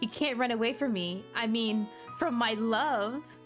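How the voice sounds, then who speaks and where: A woman speaks at a fairly high pitch. Music plays in the background. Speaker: VTuber. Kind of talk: reading game dialogue aloud. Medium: read story.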